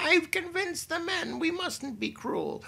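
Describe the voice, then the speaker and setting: A man cackles in a put-on character voice against light background noise. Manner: cackling, gloating.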